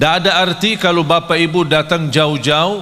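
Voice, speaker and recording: Recorded with audible room echo and noticeable background noise, a man speaks at fairly high pitch. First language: not Indonesian (speaking Indonesian). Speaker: Islamic preacher. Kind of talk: sermon.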